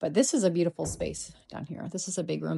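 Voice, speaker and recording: At a moderate pace, a woman with a fairly low voice speaks in a dark, mellow tone with vocal fry. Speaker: real estate agent. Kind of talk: property walkthrough tour. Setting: indoors, walking through a house. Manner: casual, filler-heavy; lowered voice.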